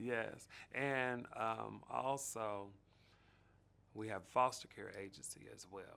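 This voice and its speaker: A man with an American accent speaks very slowly at a medium pitch, in a bright, sharp tone with fairly even intonation, big swings in loudness and long, frequent pauses. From Dayton, Ohio, USA. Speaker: foster parent and group home founder. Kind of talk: interview answer.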